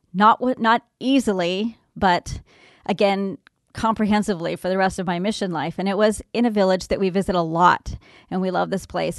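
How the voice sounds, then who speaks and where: A woman with an American accent and an ordinary speaking voice talks at a fairly quick pace, medium pitch and fairly even intonation. The sound is dry and close with no echo, against a quiet background. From Southern California. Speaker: humanitarian aid worker and mother. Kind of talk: interview. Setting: studio.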